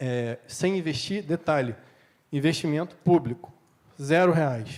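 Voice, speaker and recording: Pausing long and often, a man talks at a fairly high pitch with ordinary pitch variation. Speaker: panel speaker from city waste management company. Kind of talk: conference panel talk. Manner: fast.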